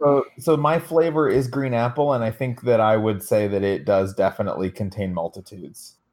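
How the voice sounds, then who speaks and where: A man with a plain, everyday voice, medium in pitch, at a fairly quick pace with hardly any pauses. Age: 30s. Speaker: podcast contestant and songwriter. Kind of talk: casual chat.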